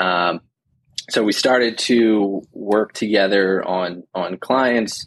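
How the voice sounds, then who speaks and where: Speaking very slowly, a man keeps his fairly low voice in fairly even intonation. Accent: American. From New Jersey. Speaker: financial planner. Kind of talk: casual interview.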